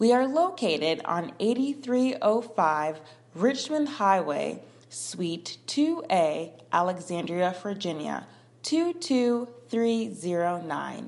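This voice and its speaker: A woman's medium-pitched voice at a very slow pace, with very wide pitch swings. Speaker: ministry announcer. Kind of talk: scripted announcement.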